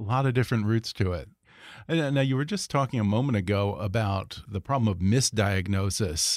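Ordinary pitch variation marks a normal speaking voice that talks at a fairly quick pace. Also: man, medium pitch for a man. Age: 40s. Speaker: podcast host. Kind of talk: interview.

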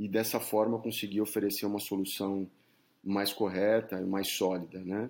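Fairly low in pitch and fairly even in intonation, a man speaks in an unremarkable speaking voice at a moderate pace. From São Paulo, Brazil. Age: 40s. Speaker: headhunter. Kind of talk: interview.

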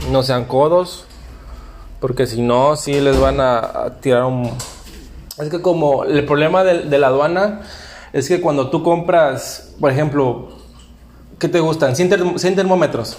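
Speaking very slowly with long, frequent pauses, a man uses a fairly high pitch and ordinary pitch variation. Audible room echo and noticeable background noise fill the recording. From Mexico, Veracruz. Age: young. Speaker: podcast host, small business owner. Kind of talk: casual chat.

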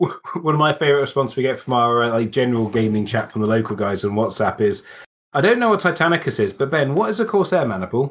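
Racing at a very fast pace, a man speaks at medium pitch with very wide pitch swings. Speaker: podcast co-host. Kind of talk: casual chat about tabletop wargaming.

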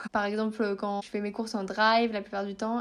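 A woman's voice at a fairly high pitch. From northern France. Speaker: eco-lifestyle influencer. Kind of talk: interview. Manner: hesitant, many fillers.

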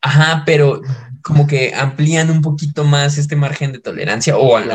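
Pitched fairly high, a man with an unremarkable speaking voice keeps to a moderate pace. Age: 20s. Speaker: podcast co-host. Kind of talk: casual chat.

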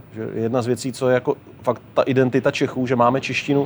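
At a fairly quick pace, a man talks with a medium pitch and monotone, flat intonation. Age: 40s. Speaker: traveller and documentary filmmaker. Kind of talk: interview.

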